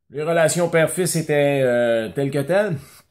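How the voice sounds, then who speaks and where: On a very clean recording with a silent background, a man in a Quebec accent talks at a fairly slow pace with ordinary pitch variation. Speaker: business coach and cycling school owner. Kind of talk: motivational talk to camera. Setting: at home. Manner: casual, conversational.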